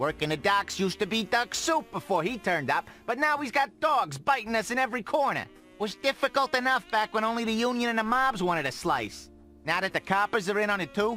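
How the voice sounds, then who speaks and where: A man puts on a gruff, high-pitched character voice, raised and projected, with lively intonation. He talks at a fairly quick pace over clear music in the background. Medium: video game. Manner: gruff, slangy.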